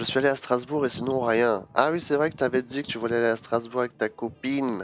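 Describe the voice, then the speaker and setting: A man's voice, with ordinary pitch variation, plays over music in the background. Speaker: streamer. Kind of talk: casual chat. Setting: live stream.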